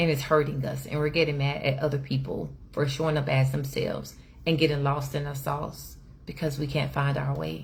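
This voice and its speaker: Animated in tone, the speaker moves at a fairly quick pace, with audible room echo around the voice. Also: woman. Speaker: inspirational speaker. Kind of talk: inspirational talk. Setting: livestream. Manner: loud.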